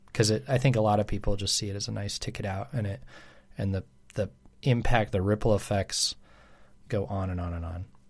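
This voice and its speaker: A man talks at a fairly quick pace with long, frequent pauses, in a somewhat breathy voice of fairly low pitch and ordinary pitch variation. The recording is very clean with a silent background. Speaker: pastor. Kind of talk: casual chat.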